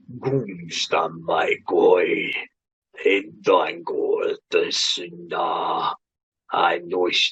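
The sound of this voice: Very slowly, someone delivers lines in a put-on character voice. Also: man.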